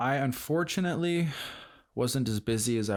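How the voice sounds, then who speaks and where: This very clean recording of a man's voice has a silent background. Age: 20s. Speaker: podcast host, culinary student. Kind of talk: casual monologue. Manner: hesitant, many fillers.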